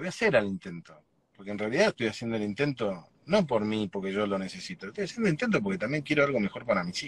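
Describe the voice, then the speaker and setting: Recorded with a dry sound and no echo, a man talks at a very fast pace with lively intonation. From Argentina, Chaco province. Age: 40s. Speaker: political candidate; candidate. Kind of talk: interview. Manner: halting, repeats words. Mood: earnest, concerned. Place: car. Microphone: video call.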